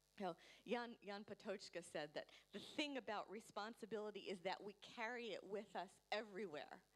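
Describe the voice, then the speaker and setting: A woman at a medium pitch and fairly quick pace, with ordinary pitch variation. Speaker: panel speaker at a forum. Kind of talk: panel discussion talk. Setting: conference with interpreter. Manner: fast; hesitant with fillers.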